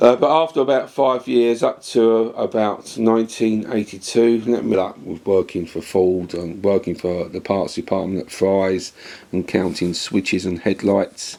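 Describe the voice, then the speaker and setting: In a London accent, the speaker goes at a fairly slow pace. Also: man, fairly low pitch for a man, ordinary pitch variation. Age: 60s. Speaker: retired ambulance technician. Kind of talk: autobiographical storytelling. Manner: halting, many fillers.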